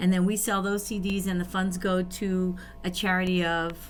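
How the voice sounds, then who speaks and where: A woman with an American accent and an ordinary speaking voice, at a medium pitch and a fairly slow pace. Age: 50s. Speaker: band member and nonprofit organizer. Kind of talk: casual chat.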